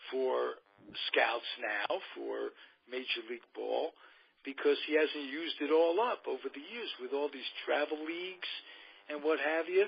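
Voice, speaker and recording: This man talks at a fairly slow pace with a New York accent. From New York City, Queens. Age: 70s. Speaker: radio host. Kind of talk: casual chat.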